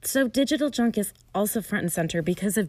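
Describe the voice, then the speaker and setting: The recording is very clean and the background silent. A woman talks at a moderate pace. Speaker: podcast host. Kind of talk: guided meditation and casual monologue. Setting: indoors in a closet or interior room.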